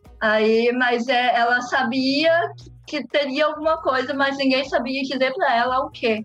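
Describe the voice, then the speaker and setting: Over music in the background, a woman speaks at a fairly slow pace in a high voice, with very even loudness and fairly even intonation. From Brazil, Londrina, Paraná. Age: 20s. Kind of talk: casual interview.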